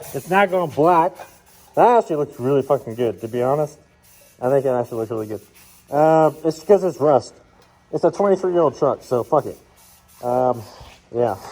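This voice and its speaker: The speaker talks at a fairly quick pace with lively intonation, breaking often for long pauses while music plays in the background. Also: man, fairly high pitch for a man. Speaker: truck vlogger. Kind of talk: casual vlog narration. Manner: halting, many fillers.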